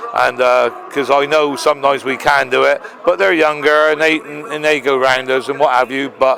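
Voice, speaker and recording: A man speaks at a medium pitch with flat, monotone intonation and a fairly quick pace. Noticeable background noise runs underneath. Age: 60s. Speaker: sidecar racer. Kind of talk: trackside interview.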